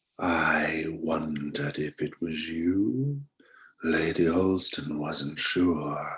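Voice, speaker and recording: Speaking very slowly, a man uses a put-on character voice in a whisper. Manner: whispering, eerie.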